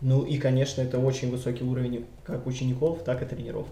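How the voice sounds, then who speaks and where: A man talks amid clear background noise, with room echo audible. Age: 30s. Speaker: capoeira instructor. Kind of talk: interview testimony. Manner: hesitant, many filler sounds.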